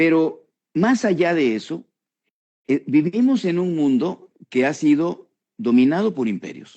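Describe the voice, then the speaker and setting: Fairly high male voice, its pitch swinging very widely. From Mexico. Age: 70s. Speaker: political commentator. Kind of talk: casual chat. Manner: halting.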